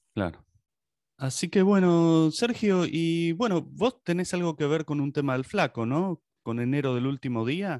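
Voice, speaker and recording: An ordinary speaking voice moves at a fairly slow pace with lively intonation, the sound dry and close with no echo. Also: man, fairly high pitch for a man. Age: 50s. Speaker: podcast host. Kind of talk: interview.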